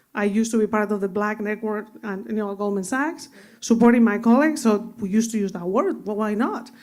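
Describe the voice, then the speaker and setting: This woman's speech moves fairly quickly. She has a Spanish accent. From Spain (Madrid). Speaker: finance executive. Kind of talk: panel discussion.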